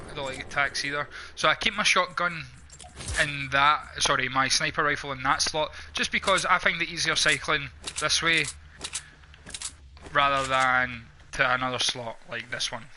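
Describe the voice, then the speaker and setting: A man with a Scottish accent, fairly high pitch, moderate pace, fairly even intonation and long, frequent pauses, plus noticeable background noise. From Scotland. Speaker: gamer. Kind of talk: live gameplay commentary. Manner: casual, conversational.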